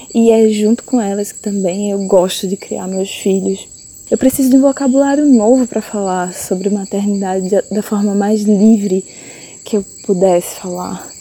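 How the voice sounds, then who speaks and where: A woman talks at a moderate pace with a medium pitch and fairly even intonation. Noticeable background noise runs behind her. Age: 30s. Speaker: visual artist. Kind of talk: personal testimony. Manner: halting, with repetitions.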